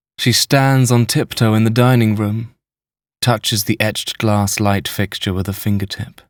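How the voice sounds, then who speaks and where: In an unremarkable speaking voice, a man talks at a moderate pace with fairly low pitch and fairly even intonation, the sound dry and close with no echo in a very clean recording with a silent background. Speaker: voice actor, audiobook narrator. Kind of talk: literary audiobook narration, first person present tense.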